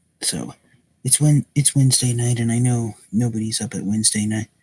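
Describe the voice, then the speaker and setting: Somewhat breathy, a man talks at a moderate pace in a medium pitch with fairly even intonation. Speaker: toy reviewer. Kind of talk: product review. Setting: live stream at home at night. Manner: soft-spoken.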